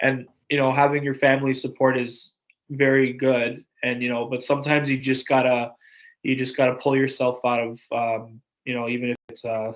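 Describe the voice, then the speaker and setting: A moderate pace with monotone, flat intonation. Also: man, medium pitch for a man. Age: 20s. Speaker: podcast host. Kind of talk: casual chat.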